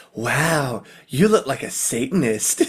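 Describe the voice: A man's put-on character voice, breathy and fairly high-pitched, at a fairly slow pace.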